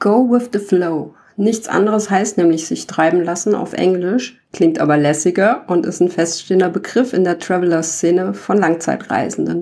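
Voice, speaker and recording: A dark, mellow tone with vocal fry, ordinary pitch variation and a moderate pace. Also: woman, fairly low pitch for a woman. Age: 40s. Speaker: podcaster, backpack traveller. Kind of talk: monologue podcast.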